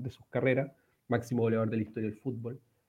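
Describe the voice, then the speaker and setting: A man at a medium pitch speaks in a flat monotone. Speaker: football podcast host. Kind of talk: casual chat. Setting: remote recording from home. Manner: halting, many repetitions.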